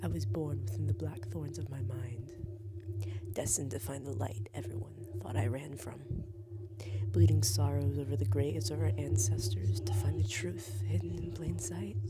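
Noticeable background noise beneath talking at a moderate speed. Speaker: poet. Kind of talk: spoken-word poem performance. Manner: dramatic, intense.

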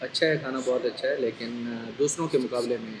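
A man talks over noticeable background noise. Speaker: food vlogger. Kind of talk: casual vlog chat, restaurant review. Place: cafe. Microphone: camera far.

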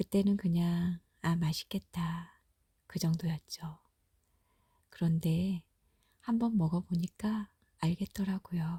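The tone is soothing and gentle. The pace is very slow. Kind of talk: reading aloud; ASMR bedtime narration, comforting. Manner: slow, soft-spoken, soothing; gentle, intimate, warmly reassuring.

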